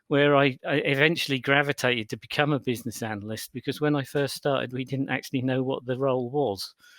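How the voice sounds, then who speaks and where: Speaking with a British accent, a man talks at a very fast pace with hardly any pauses. His pitch is medium. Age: 50s. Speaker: business consultant and keynote speaker. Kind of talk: podcast interview. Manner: halting, many repetitions.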